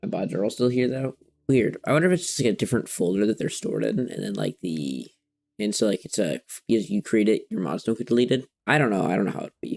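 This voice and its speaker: Dry and close with no echo, the recording captures a man talking at a very fast pace. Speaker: video game streamer. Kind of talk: live gameplay stream.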